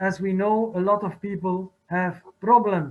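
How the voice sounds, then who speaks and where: A man's high-pitched voice with a non-native accent, at a very slow pace. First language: French or Dutch. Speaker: art historian. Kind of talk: conference talk. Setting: video call. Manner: halting.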